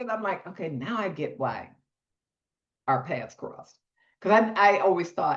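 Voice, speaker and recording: A woman speaks in an animated tone with vocal fry and big swings in loudness. Her pace is moderate, with long, frequent pauses. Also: medium pitch for a woman, lively intonation. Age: 60s. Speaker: retired carpenter and clothing business founder. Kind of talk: interview conversation.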